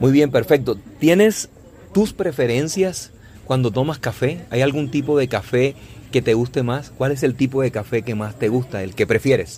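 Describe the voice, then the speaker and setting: A man with a plain, everyday voice talks at a moderate pace, his medium pitch showing ordinary pitch variation. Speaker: Spanish teacher and podcast host. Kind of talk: casual interview. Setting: outdoors on a coffee farm.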